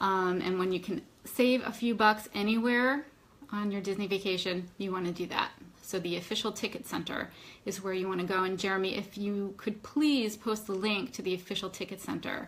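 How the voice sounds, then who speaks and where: A woman with a medium pitch speaks at a fairly quick pace. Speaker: travel agent and live show host. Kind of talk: Facebook live Q&A chat. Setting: Facebook live broadcast. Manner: animated.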